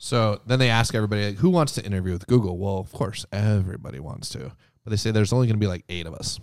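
A man speaks at a fairly low pitch in a normal speaking voice. The recording is very clean, with a silent background. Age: 30s. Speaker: entrepreneur and Navy veteran. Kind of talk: casual chat.

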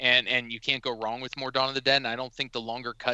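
Medium-pitched man's voice in a monotone, flat intonation. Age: 30s. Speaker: horror fan and film location enthusiast. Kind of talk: casual chat. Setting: phone or online call.

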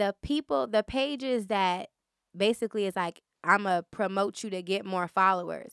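Lively intonation marks an unremarkable speaking voice on a very clean recording with a silent background. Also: woman, dry, close sound with no echo. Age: 30s. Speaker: podcast host. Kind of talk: casual chat. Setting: studio.

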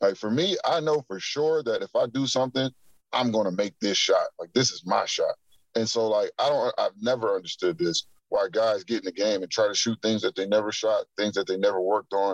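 A man talks at a fairly quick pace, in a dry, close sound with no echo. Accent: American. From Akron, Ohio. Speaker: pro basketball player. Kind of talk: casual interview. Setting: in a car.

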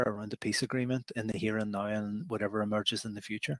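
Speaking in a Derry accent, a man uses a medium pitch and fairly even intonation at a very fast pace. The sound is dry and close with no echo. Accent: Northern Irish (Derry). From Northern Ireland, Derry. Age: 50s. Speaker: law professor. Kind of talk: interview.

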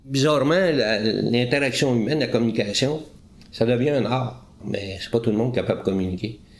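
A man at medium pitch and moderate pace, with ordinary pitch variation and audible room echo. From Quebec, Eastern Townships. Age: 60s. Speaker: retired police interrogator. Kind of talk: interview. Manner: halting.

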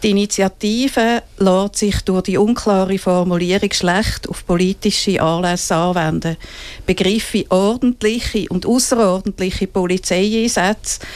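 A woman with an unremarkable speaking voice talks at a medium pitch and a fairly slow pace, with fairly even intonation. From Switzerland, Winterthur. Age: 60s. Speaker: feminist activist. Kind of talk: interview. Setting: studio. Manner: reads prepared statements.

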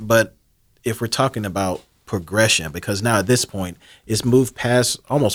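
An ordinary speaking voice with an American accent, a fairly quick pace and ordinary pitch variation, in a very clean recording with a silent background. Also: man. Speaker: community committee chair. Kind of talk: radio interview. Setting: studio.

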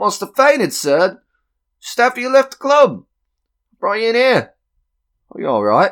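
A man's put-on character voice, high and fairly bright, with very wide pitch swings at a fairly slow pace.

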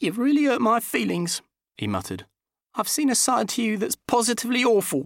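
In a put-on character voice with vocal fry, a man talks at a fairly quick pace and an extremely high pitch, his pitch swinging very widely, in a very clean recording with a silent background and a dry, close sound with no echo.

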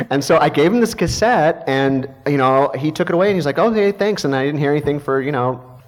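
Talking at a very fast pace with hardly any pauses, a man uses lively intonation. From US Midwest, Missouri. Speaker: film and TV composer. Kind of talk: panel talk at a luncheon. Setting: jazz club stage with audience.

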